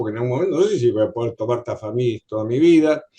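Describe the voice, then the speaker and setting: A man is speaking. His voice sounds dark and mellow. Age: 70s. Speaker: patient. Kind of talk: audience question. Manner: halting.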